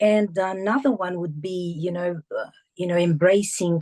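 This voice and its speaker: A woman speaks with a Portuguese accent at a moderate pace and with fairly even intonation. Her tone is dark and mellow, and the sound is dry and close with no echo. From Portuguese-speaking country, moved abroad at 14. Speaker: teacher, author and entrepreneur. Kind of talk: interview. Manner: halting, many fillers.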